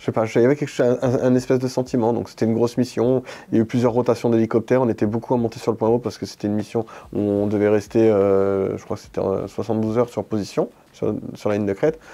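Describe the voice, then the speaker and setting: A man races along at a very fast pace in a dark, mellow tone, using a medium pitch and fairly even intonation over a quiet background. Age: 40s. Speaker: paralympic shooter, former army sniper. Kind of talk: interview. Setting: studio. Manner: hesitant, many fillers.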